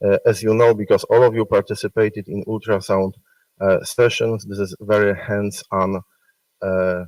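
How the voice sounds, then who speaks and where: On a very clean recording with a silent background and a dry, close sound with no echo, a man speaks at a moderate pace and a fairly low pitch. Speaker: medical school faculty presenting awards. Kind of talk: award ceremony speech. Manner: loud; halting, many fillers. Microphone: speaking without the microphone.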